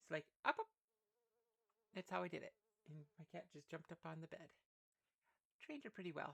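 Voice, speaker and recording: The speech is quiet and moves at a fairly quick pace. Long, frequent pauses break it up. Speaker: streamer playing a roleplay game. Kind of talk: casual live-stream chat.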